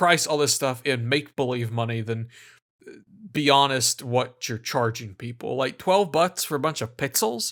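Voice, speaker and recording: A man with an American accent, lively intonation and a moderate pace, on a very clean recording with a silent background. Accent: American, self-described hick. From United States. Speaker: gaming video essayist. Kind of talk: video essay narration. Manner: casual, sarcastic.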